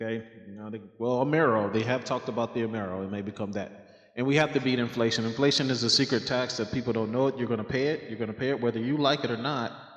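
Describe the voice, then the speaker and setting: Despite noticeable background noise, a man rattles along at a very fast pace with hardly any pauses, medium in pitch and fairly even in intonation. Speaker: finance video creator. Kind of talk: casual explainer talk. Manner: loud; hesitant, many fillers.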